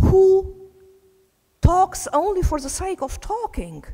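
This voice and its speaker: Speaking very slowly, a woman talks with a non-native accent. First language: not English. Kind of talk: conference talk.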